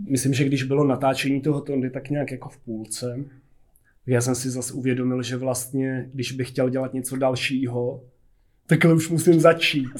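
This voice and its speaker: Monotone, flat intonation from a man at a medium pitch. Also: moderate pace. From Czechia, Jizera Mountains region (Jablonec area). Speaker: film director and illustrator. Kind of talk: casual interview.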